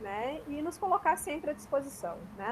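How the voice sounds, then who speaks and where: A woman speaks with a strong gaúcho accent. Her pace is moderate and her intonation lively. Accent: strong southern Brazilian (gaúcho). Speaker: university extension administrator and lecturer. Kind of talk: online lecture. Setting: video call. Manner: frequent fillers, conversational.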